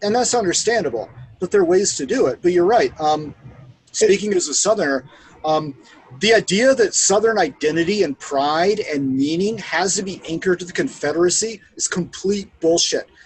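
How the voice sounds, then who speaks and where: A man with an American accent speaks with a high pitch and lively intonation. Noticeable background noise is present. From US South, Georgia (Atlanta). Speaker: army veteran, counterinsurgency specialist. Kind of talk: casual chat. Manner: animated.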